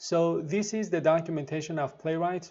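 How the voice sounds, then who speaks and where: A man speaks with a non-native accent at a fairly slow pace. His pitch variation is ordinary. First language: not English. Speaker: programming tutorial youtuber. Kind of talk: tutorial. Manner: halting, many fillers.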